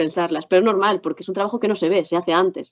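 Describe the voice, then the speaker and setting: Medium pitch for a woman, with ordinary pitch variation in her voice. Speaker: actress. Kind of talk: interview. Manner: fast; careful articulation.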